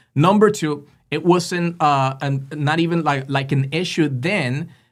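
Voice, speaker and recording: On a very clean recording with a silent background, a man with a Spanish accent speaks at a fairly slow pace in a fairly high pitch with ordinary pitch variation. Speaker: political podcast host. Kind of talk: casual political commentary. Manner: halting, many fillers; animated.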